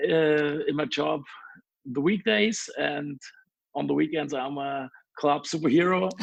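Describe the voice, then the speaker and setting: Long, frequent pauses break up a man's speech, which has a German accent. His pitch varies in an ordinary way. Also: fairly high pitch for a man, fairly slow pace. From Germany. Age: 30s. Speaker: DJ. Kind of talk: interview. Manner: halting.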